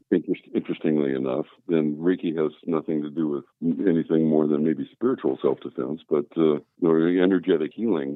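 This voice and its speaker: A man with an American accent talks at a fairly quick pace. His very deep, low voice holds fairly even intonation. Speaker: a cappella bass singer and voiceover artist. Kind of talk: interview answer.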